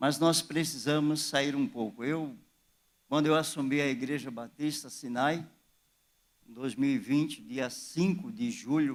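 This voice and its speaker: Speaking at a fairly slow pace, a man keeps ordinary pitch variation. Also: fairly high pitch for a man. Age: 60s. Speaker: pastor. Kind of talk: sermon. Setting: church.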